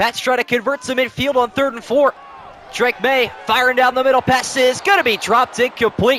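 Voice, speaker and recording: Over noticeable background noise, a man speaks at an extremely high pitch in a dry, close sound with no echo. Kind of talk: live sports commentary, play-by-play of a simulated Madden game. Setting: video game commentary recording. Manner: rapid-fire, clipped play-by-play delivery.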